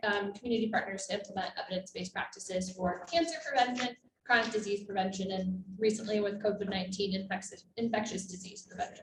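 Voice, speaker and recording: Her medium-pitched voice racing at a very fast pace, a woman talks. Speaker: assistant professor and cancer researcher. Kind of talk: conference presentation. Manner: trying to project, speaking loudly. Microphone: microphone cutting out, remote listeners can't hear.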